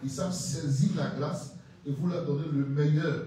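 Strong room echo surrounds a man's voice, with light background noise. His intonation stays fairly even. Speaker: preacher. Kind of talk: sermon. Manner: emphatic, teaching cadence, explains points one by one. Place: church. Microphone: handheld.

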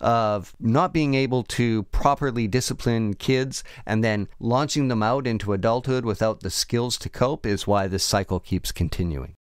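A man with an unremarkable speaking voice talks at a medium pitch and a moderate pace, with ordinary pitch variation. The recording is very clean, with a silent background. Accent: Canadian. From Canada. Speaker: news podcast host. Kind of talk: news recap podcast with casual commentary.

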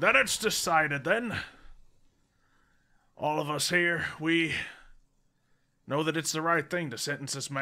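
Shouting in a raspy, put-on character voice, a man performs. He leaves long, frequent pauses. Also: fairly high pitch for a man, moderate pace.

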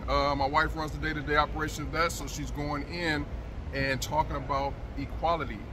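A man talking fairly quickly over noticeable noise in the background. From Michigan. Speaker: business owner. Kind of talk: casual interview answer. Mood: friendly, relaxed. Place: market. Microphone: phone near.

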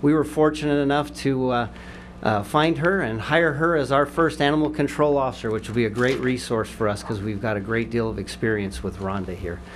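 A man talks fairly quickly over noticeable background noise. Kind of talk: formal introduction speech. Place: hall. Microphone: podium.

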